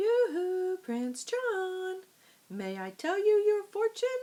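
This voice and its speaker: A put-on character voice sounds female, squeaky and extremely high in pitch. It moves at a very slow pace. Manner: cooing.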